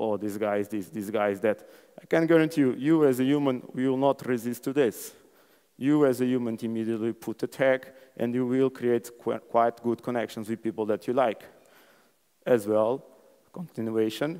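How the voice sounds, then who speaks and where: A man speaks at a moderate pace with a Portuguese accent, his medium pitch showing ordinary pitch variation. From Portugal. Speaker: conference speaker. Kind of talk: conference talk. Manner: animated.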